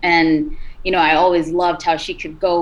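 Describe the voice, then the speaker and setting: Against noticeable background noise, a woman speaks in a fairly low voice with fairly even intonation. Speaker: singer and rapper. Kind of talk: interview. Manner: hesitant with many fillers.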